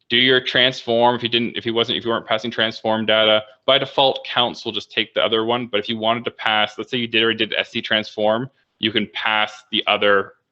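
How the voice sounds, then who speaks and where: A man speaks at a very fast pace. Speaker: bioinformatics workshop presenter. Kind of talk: tutorial. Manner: casual.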